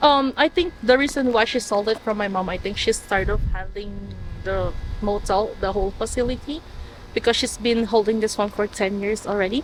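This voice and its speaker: Noticeable background noise behind a woman's fairly high voice, fairly quick in pace and ordinary in pitch variation. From Philippines, Manila. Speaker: motel family member. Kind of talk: interview.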